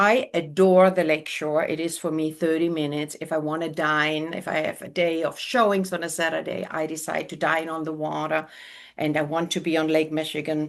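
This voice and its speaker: Against a quiet background, a woman with a German accent talks at a fairly quick pace in a very deep, low voice with ordinary pitch variation. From Germany. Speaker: realtor. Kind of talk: interview. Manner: animated.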